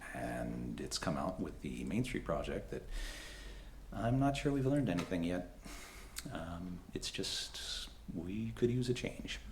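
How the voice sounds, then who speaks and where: Pausing long and often, a man with a very deep, low pitch and very wide pitch swings speaks at a fairly slow pace amid audible room echo and noticeable background noise. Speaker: political candidate. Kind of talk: candidate forum speech. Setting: public forum with audience and microphone. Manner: halting, many fillers.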